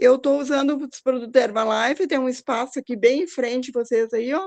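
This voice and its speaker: A woman's high-pitched voice carries ordinary pitch variation. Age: 60s. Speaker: speaker sharing personal health story. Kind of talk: testimony.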